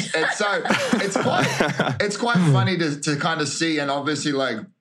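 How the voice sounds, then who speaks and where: There is audible room echo around a man whose speech has ordinary pitch variation. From New Zealand and Queensland, Australia. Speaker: reality TV star. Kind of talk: casual interview chat.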